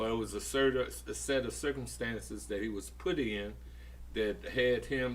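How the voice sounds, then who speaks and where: Audible room echo surrounds a man speaking with an American accent. His pace is fairly slow. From US Midwest, East St. Louis, Illinois. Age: 70s. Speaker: community elder, podcast guest. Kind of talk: casual discussion.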